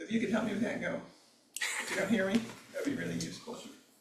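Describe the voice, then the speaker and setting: Echo from the room is audible around this man's voice. There's also noticeable noise in the background. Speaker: meditation teacher. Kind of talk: dharma talk; guided reflection. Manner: soft-spoken.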